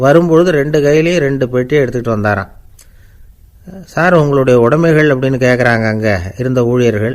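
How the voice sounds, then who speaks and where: In a normal speaking voice, a man talks at a medium pitch with ordinary pitch variation. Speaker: radio broadcaster. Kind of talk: anecdotal storytelling talk.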